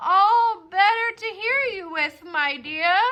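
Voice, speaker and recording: A cartoonish character voice at an extremely high pitch. The pace is very slow. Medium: puppet show. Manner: sly, falsely sweet.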